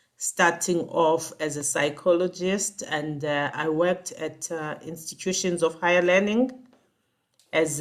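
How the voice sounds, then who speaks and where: A woman with a South African accent talks at a fairly slow pace in a fairly low pitch. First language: Xhosa. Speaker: executive coach. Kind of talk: interview.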